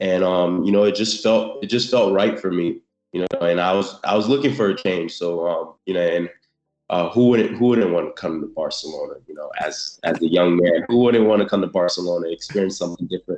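Using a normal speaking voice, a man with an American accent talks at a fairly quick pace, fairly low in pitch with ordinary pitch variation. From South Florida (born in Haiti). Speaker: American football player. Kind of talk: interview. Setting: video call. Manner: casual, many fillers.

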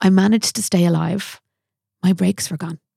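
In an Irish accent, a woman speaks at a fairly quick pace in a dark, mellow, somewhat breathy tone. The sound is dry and close, with no echo. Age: 30s. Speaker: makeup artist. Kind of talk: casual chat. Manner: animated.

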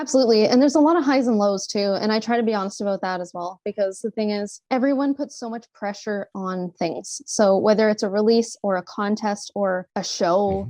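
A woman with a Canadian accent, fairly high pitch and dark, mellow tone, fairly quick with hardly any pauses and ordinary pitch variation, in a dry, close sound with no echo and a quiet background. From Canada, Sudbury, Ontario. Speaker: singer-songwriter. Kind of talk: casual interview chat.

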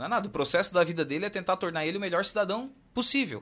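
A man's bright, sharp tone races at a very fast pace through very wide pitch swings. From southern Brazil, Santa Catarina. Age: 30s. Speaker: car dealership owner. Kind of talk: radio interview.

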